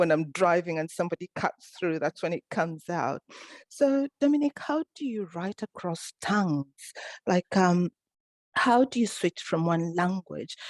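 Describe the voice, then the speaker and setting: Speech comes in an East African accent with lively intonation at a fairly slow pace. The sound is dry and close with no echo, over a quiet background. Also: woman, fairly low pitch for a woman. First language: Swahili. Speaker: author and event moderator. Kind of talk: online panel interview.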